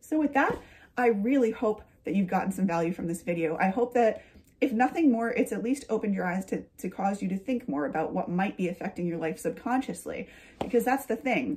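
A woman speaks at a fairly quick pace in a fairly high, somewhat breathy voice with lively intonation. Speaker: lifestyle YouTuber and author. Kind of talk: casual vlog monologue. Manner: chatty, laughing. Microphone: phone near.

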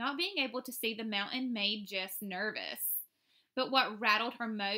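Quiet background and an unforced reading voice

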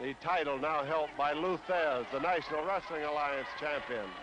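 Noticeable background noise is present throughout. The man's delivery is fairly slow. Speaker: ringside wrestling commentator. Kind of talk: live sports commentary, wrestling play-by-play. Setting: 1950s television broadcast, ringside.

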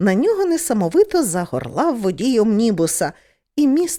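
A natural reading voice is heard against a quiet background.

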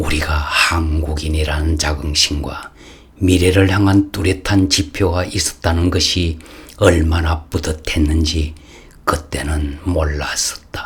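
A man's very deep, low voice, very slow in pace, with monotone, flat intonation. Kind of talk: formal speech reading, commentary.

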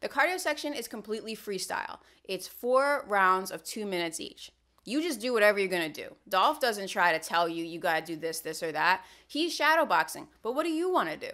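Against a quiet background, a woman speaks fairly quickly, her pitch swinging very widely. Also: big swings in loudness. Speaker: vlogger. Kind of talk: casual vlog chat. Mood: wry, humorous. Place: home room.

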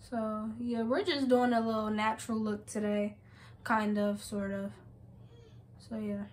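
Somewhat breathy and fairly high, a woman's voice moves at a fairly slow pace. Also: fairly even intonation. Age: 18. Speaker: beauty vlogger and makeup artist; beauty vlogger. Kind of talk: casual vlog with makeup tutorial. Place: home room. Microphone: phone near.

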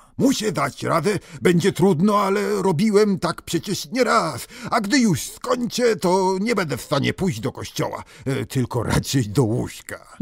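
A man puts on a gruff character voice at a high pitch. His pitch swings very widely as he speaks at a moderate pace. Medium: read story. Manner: gruff, reassuring.

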